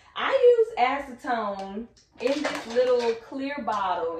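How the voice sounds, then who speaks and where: Noticeable background noise sits behind a woman with an American accent. Her fairly high voice moves in very wide pitch swings. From Texas. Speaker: lash artist and vlogger; vlogger. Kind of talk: vlog. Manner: animated. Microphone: camera far.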